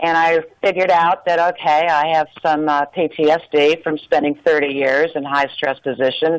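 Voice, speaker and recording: Monotone, flat intonation with very even loudness and hardly any pauses. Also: woman, very deep, low pitch for a woman, moderate pace. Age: 60s. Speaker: retired nurse and adoptee guest. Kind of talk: radio interview, personal testimony. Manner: halting with many fillers.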